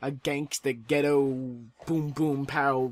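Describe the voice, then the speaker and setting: The recording is dry and close with no echo, capturing a man with a fairly high pitch. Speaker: gaming commentator. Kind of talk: gameplay commentary. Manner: casual, filler-heavy.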